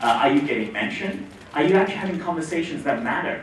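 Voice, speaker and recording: A man talks at a very fast pace, his pitch fairly high. The room echo is audible and the background noise is noticeable. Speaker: tech company CEO. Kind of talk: conference talk.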